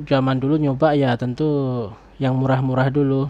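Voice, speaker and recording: Here a man talks at a moderate pace in a fairly high pitch. His tone is dark and mellow, his intonation monotone and flat. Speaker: YouTuber reviewing online shopping. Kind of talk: casual personal review. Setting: home recording late at night. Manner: soft-spoken.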